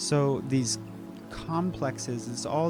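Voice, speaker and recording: A man at a very slow pace over background music. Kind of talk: educational lecture to camera. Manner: hesitant, halting.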